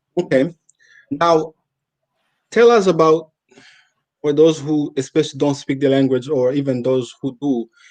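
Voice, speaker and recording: A man with a Rwandan accent speaks at a moderate pace, his pitch fairly high. His pitch varies in an ordinary way, and he leaves long, frequent pauses. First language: Kinyarwanda. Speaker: interviewer. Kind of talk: interview.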